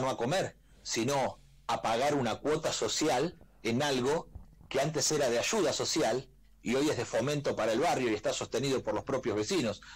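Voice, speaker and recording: A man with a plain, everyday voice and fairly high pitch speaks at a moderate pace on a very clean recording with a silent background. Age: 40s. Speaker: presidential pre-candidate. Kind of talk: radio interview.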